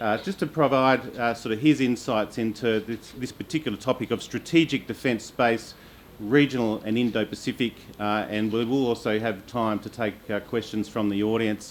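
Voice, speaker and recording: At a moderate pace, a man with an Australian accent speaks at a medium pitch with fairly even intonation. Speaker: panel moderator. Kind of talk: panel moderation. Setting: conference stage with audience. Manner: many filler uhs, halting.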